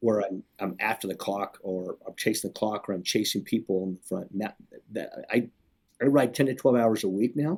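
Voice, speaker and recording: An ordinary speaking voice with an American accent, a fairly quick pace and ordinary pitch variation. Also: man, fairly low pitch for a man. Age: 50s. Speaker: sports organization executive. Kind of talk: interview conversation.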